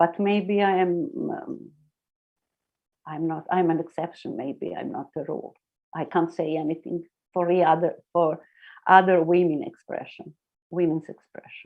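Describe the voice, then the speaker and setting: Pausing long and often, a woman with a non-native accent speaks in a fairly low pitch with fairly even intonation. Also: moderate pace, big swings in loudness. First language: not English. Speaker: internet pioneer. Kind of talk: interview. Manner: halting.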